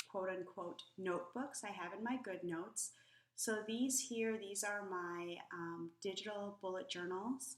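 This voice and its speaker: Noticeable background noise sits behind the recording. A woman speaks at a medium pitch and a fairly slow pace. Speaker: planner tutorial youtuber. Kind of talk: screen-recorded tutorial. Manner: hesitant, many fillers.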